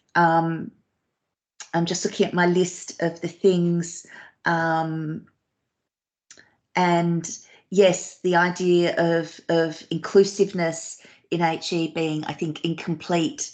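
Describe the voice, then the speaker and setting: Against a quiet background, a woman with an Australian accent speaks very slowly in a fairly low, monotone voice, leaving long, frequent pauses. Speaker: professor. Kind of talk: Q&A after academic talk. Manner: hesitant, many fillers.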